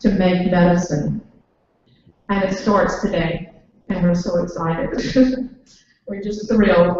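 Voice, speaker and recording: Her voice sits at a medium pitch. The intonation is monotone and flat. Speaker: event host. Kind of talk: speaker introduction at a public lecture.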